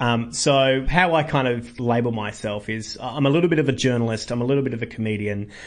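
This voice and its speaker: A man with an Australian accent, medium-pitched, with ordinary pitch variation and a fairly quick pace. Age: 30s. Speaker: comedian. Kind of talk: interview.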